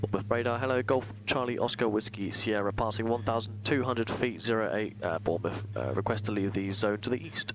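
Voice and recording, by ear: With few pauses, a man talks at a fairly quick pace, his pitch fairly low and its variation ordinary.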